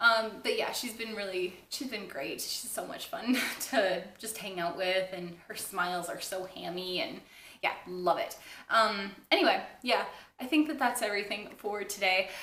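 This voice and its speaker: Her intonation is lively as the woman speaks at a moderate pace. Audible room echo and noticeable background noise fill the recording. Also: medium pitch for a woman, big swings in loudness. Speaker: knitting podcaster. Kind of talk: casual chat.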